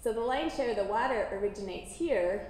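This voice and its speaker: A woman with an American accent speaks at a moderate pace and fairly high pitch with ordinary pitch variation, with light background noise and audible room echo. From Washington State, US. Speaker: water center coordinator; guest lecturer. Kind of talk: lecture. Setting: lecture hall with audience and microphone. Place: hall.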